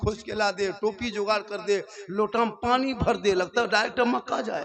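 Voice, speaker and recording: Ordinary pitch variation in a man's high-pitched voice. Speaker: Islamic preacher giving a public sermon. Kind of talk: Islamic sermon (taqreer) to a live crowd, humorous and emotional. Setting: live public gathering at night, PA system. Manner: colloquial, humorous, lively, with crowd interaction.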